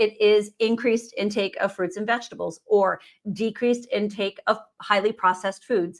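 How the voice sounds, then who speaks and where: A woman talks at a fairly quick pace and a fairly high pitch, her intonation fairly even. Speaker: nutrition professional hosting a live Q&A webinar. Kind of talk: live webinar teaching session. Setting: live stream video call. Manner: fast.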